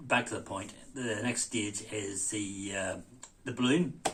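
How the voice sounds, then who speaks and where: The voice shows ordinary pitch variation. Audible room echo is present. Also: man. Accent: Belfast. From Northern Ireland, East Belfast. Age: 60s. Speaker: heart patient sharing experience. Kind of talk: casual talk to camera. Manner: hesitant, many fillers.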